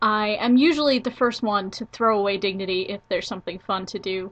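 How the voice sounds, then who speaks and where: At a fairly quick pace, a woman speaks in a plain, everyday voice with a fairly high pitch and ordinary pitch variation. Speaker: college student. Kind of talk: casual talk to camera.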